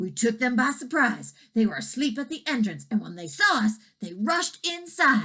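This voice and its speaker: A woman uses a put-on character voice with fairly high pitch. Her loudness swings widely at a moderate pace. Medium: read story. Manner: excited, fast.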